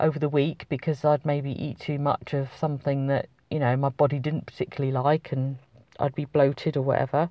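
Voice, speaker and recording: A woman's very deep, low pitch and dark, mellow tone in a British accent, monotone and flat, at a fairly quick pace, with a dry, close sound and no echo. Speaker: podcast host, wellbeing coach. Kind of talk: solo podcast monologue.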